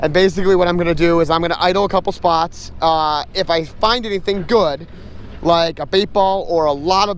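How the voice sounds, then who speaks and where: Loud and shouting, a man speaks at a high pitch and a fairly quick pace with fairly even intonation. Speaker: fishing vlogger. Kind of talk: casual vlog narration. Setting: on a boat on a lake; in a truck, then on a boat. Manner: loud, yelling over engine.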